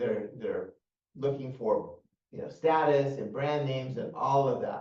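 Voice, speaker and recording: A man's fairly high, somewhat breathy voice carries audible room echo. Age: 60s. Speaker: mortgage and finance show host. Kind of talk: casual financial advice discussion. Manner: hesitant with many fillers and repeats.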